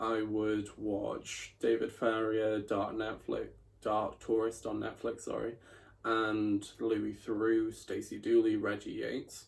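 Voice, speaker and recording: With a South Welsh accent, a man talks at a very slow pace. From Wales, Bridgend. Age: 20s. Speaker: journalism student. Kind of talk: personal video monologue.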